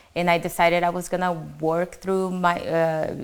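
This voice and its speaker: A woman with a non-native accent speaks fairly slowly at a fairly low pitch, her intonation monotone and flat. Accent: foreign accent, self-described. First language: not English. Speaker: mortgage branch manager. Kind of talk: panel discussion, personal story. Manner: halting, many fillers.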